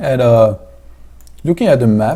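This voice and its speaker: Somewhat breathy and dark, mellow in tone, a man with a French accent speaks at a moderate pace. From France. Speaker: esports commentator. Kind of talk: live commentary.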